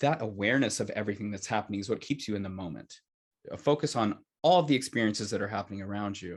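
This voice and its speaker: A man's fairly low voice with an American accent, at a very fast pace over a quiet background. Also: ordinary pitch variation. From United States. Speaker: opera singer. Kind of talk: interview answer.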